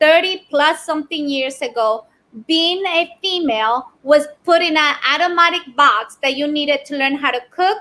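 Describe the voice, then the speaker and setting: Using a raised, projected voice, a woman speaks at a high pitch and a moderate pace with ordinary pitch variation. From Ecuador. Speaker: business owner, keynote speaker. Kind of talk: podcast interview answer.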